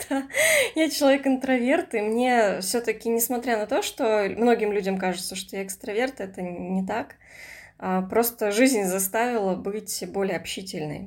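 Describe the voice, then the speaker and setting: In a very clean recording with a silent background, a woman with a normal speaking voice talks at a moderate pace and medium pitch, her pitch varying in an ordinary way while her loudness swings widely. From Russian Far East, Komsomolsk-on-Amur. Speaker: writer. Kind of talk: casual chat.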